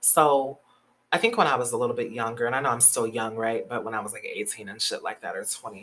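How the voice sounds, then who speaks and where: A woman talks at a fairly quick pace in a very deep, low pitch with an animated tone. Her pitch varies in an ordinary way. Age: 20s. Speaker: podcast host. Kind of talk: casual chat.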